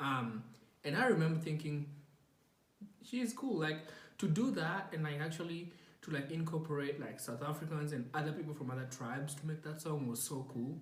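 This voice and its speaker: A man speaks at a fairly high pitch and a moderate pace, with a non-native accent. His pitch varies in an ordinary way, and audible room echo surrounds him. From Kenya. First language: not English. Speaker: podcast host. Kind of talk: casual monologue. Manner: hesitant, many fillers.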